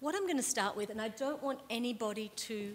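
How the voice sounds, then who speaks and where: In an Australian accent, a woman with a fairly high pitch speaks at a fairly quick pace with lively intonation. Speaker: librarian and lecturer, conference speaker. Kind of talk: conference talk. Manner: fast.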